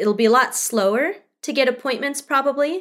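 Her tone is bright and sharp, with ordinary pitch variation at a moderate pace. The woman is heard on a very clean recording with a silent background. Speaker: insurance professional and musician. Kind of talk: casual interview chat.

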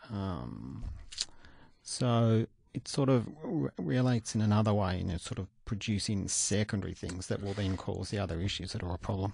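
The speaker is a man with a fairly low pitch. His intonation is lively. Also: moderate pace. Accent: Australian. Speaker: doctor, cardiologist. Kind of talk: expert interview.

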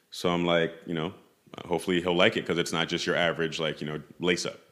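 A man with a very deep, low voice talks at a fairly quick pace in a New York accent. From New York City (Tribeca). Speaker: footwear designer. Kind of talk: interview. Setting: studio.

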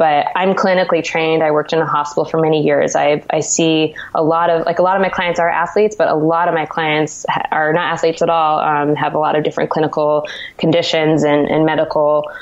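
Over noticeable background noise, a woman with a West Coast American accent talks at a very fast pace in a very deep, low pitch, her intonation monotone and flat and her loudness very even. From California. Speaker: dietitian. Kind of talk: interview. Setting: video call.

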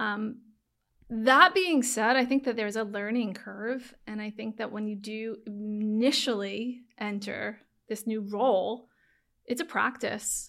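An American accent marks this woman's bright, sharp tone, fairly high pitch and ordinary pitch variation. She speaks at a fairly slow pace with big swings in loudness, in a very clean recording with a silent background. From New York, Long Island and Manhattan. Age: 40s. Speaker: stylist. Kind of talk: casual interview chat.

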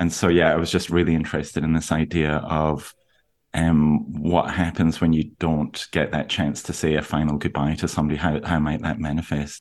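A man with a Scottish accent speaks at a moderate pace. His very deep, low voice stays monotone and flat. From Aberdeen, northeast Scotland. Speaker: novelist. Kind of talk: interview. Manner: halting, many fillers.

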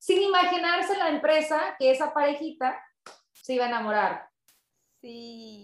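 A woman talks at a fairly slow pace with lively intonation in a plain, everyday voice. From Southern California (San Pedro, Los Angeles), Mexican parents. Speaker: radio host. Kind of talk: interview.

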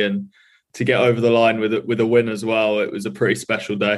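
A man's medium-pitched voice with an English accent against a quiet background. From England, Norfolk. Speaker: rugby player. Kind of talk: interview. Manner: halting.

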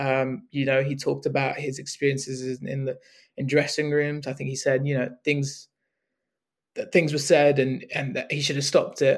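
A man's fairly high, somewhat breathy voice, fairly quick and monotone, with flat intonation. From Hong Kong and UK. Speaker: cricket journalist. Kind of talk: podcast interview. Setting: remote call. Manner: halting, many fillers.

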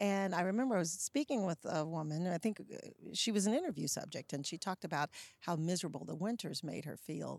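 The speaker has an American accent and a very fast delivery with lively intonation. There's vocal fry, and the sound is dry and close with no echo. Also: woman. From US South, Charlotte, North Carolina. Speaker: nonprofit executive director, former TV journalist. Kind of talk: interview conversation.

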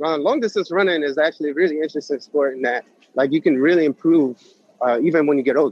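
Talking at a very fast pace, a man with a New York accent has a fairly high pitch and ordinary pitch variation. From New York City (Manhattan). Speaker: running coach. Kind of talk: interview. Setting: outdoors at a protest run in Brooklyn.

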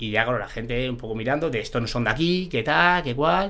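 A man speaks at a medium pitch with a bright, sharp tone and lively intonation. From Spain, Madrid. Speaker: former professional goalkeeper. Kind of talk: casual interview.

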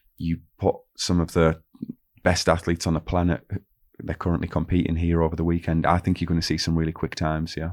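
Over a quiet background, a man with a very deep, low pitch talks at a fairly quick pace in a monotone, flat intonation. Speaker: podcast co-host, sprinter. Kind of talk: casual podcast chat.

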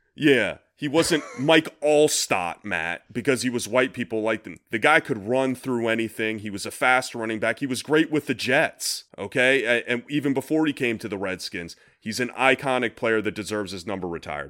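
An animated man's voice, medium in pitch with a bright, sharp tone and lively intonation, at a moderate pace with hardly any pauses, on a very clean recording with a silent background. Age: 40s. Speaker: sports podcast co-host. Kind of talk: casual chat.

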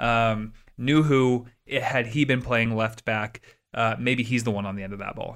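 On a very clean recording with a silent background, a man with a plain, everyday voice speaks at a medium pitch and a moderate pace with fairly even intonation. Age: 30s. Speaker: soccer podcast co-host. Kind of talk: casual chat.

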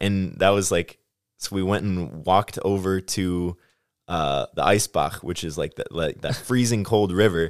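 In a Midwestern US accent, a man with a very deep, low pitch speaks at a fairly slow pace on a very clean recording with a silent background. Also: ordinary pitch variation. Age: 20s. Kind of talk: casual chat.

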